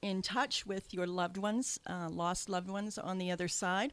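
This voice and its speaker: Fairly even intonation and a slight Canadian accent come through in a very clean recording with a silent background. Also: woman. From Canada. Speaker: radio host and psychic medium. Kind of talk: radio talk show. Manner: hesitant, many fillers.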